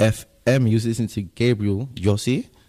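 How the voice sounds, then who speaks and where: A man speaks with a London accent. His pitch is fairly low. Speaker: radio host. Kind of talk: casual chat. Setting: studio. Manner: animated.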